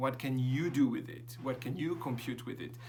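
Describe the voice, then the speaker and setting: Somewhat breathy, a man with a French accent speaks at a moderate pace amid audible room echo. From France. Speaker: professor. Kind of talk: lecture. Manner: hesitant, many fillers.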